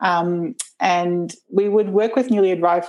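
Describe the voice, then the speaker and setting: In an Australian accent, a woman talks at a medium pitch with ordinary pitch variation. Her tone is dark and mellow. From Brisbane, southeast Queensland, Australia. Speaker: permaculture educator and climate activist. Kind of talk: casual interview conversation.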